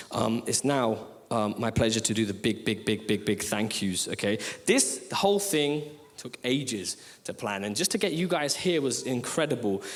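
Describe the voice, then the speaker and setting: Through noticeable background noise, a man talks at a moderate pace with very wide pitch swings. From Leicester, English East Midlands. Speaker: poet and rapper. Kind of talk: stage thank-yous to audience. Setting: theatre stage with audience.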